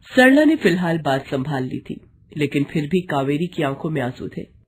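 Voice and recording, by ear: A woman speaks in a low pitch with a slightly husky edge. Her pitch swings are big. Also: moderate pace.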